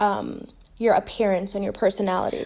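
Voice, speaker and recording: A woman speaks with ordinary pitch variation. The recording is very clean, with a silent background. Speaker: astrology content creator. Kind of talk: explainer monologue. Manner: casual with fillers; stumbling at times.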